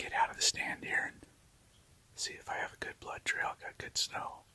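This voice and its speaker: Whispering at a moderate pace, a man shows big swings in loudness. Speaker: hunter. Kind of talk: hunting field commentary. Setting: outdoors in a tree stand, snow.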